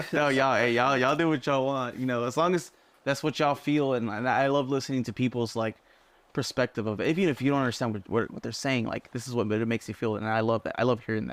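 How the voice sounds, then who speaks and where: In a very clean recording with a silent background, a man speaks at a very fast pace. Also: medium pitch for a man, ordinary pitch variation. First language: Spanish. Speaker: rock band musician. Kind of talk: casual chat. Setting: radio studio. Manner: animated.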